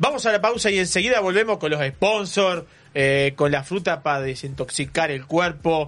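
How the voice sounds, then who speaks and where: An animated man with a high pitch, lively intonation and a moderate pace. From Uruguay, Canelones coast. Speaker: radio host. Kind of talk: live radio talk show. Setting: radio studio.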